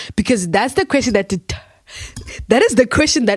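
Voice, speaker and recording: This woman sounds animated, with lively intonation. Her voice is somewhat breathy. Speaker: podcast host. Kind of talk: casual podcast chat. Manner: fast.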